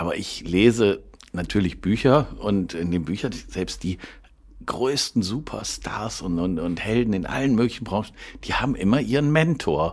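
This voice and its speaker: A man's normal speaking voice, fairly low in pitch, at a moderate pace with lively intonation. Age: 60s. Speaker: food wholesaler and podcast co-host. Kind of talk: casual chat.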